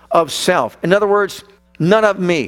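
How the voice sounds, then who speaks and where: An animated voice speaks at a moderate pace over background music. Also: man. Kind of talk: sermon. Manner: animated, rousing, call-and-response; emphatic, repetitive, building rhythm.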